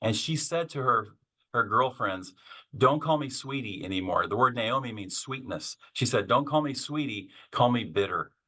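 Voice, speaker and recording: A man with an American accent speaks at medium pitch and moderate pace in a bright, sharp tone over a quiet background. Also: lively intonation. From Kansas. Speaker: author and seminary professor. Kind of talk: podcast interview.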